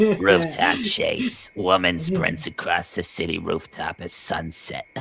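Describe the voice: Raspy and husky, this put-on character voice moves at a fairly slow pace.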